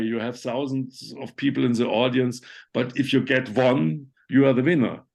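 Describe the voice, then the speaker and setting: A man with a German accent at a medium pitch and a fairly slow pace, over a quiet background. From Germany. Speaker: conceptual artist. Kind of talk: online talk Q&A. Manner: halting.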